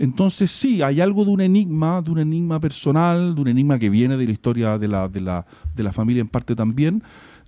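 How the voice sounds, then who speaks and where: Over a very clean, silent background, a man speaks fairly quickly at a fairly high pitch, with a dark, mellow tone and very wide pitch swings. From Chile. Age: 40s. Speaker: philosopher and columnist. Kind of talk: radio interview.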